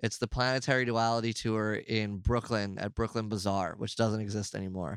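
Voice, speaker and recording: A man with an American accent talks at a fairly quick pace, fairly low in pitch and fairly even in intonation, in an ordinary speaking voice. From New York. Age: 30s. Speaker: metal drummer. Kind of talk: interview. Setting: on tour, before a show.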